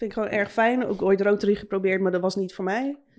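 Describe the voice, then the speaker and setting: An ordinary speaking voice with fairly even intonation is captured on a very clean recording with a silent background. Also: woman. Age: 30s. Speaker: tattoo artist. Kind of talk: casual chat.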